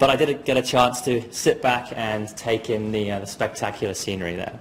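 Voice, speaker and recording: Talking at a fairly quick pace, a man holds a fairly even intonation while noticeable noise sounds behind him. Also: medium pitch for a man. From southern England, Dorset. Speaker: geoscience graduate. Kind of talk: presentation. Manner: halting, many fillers.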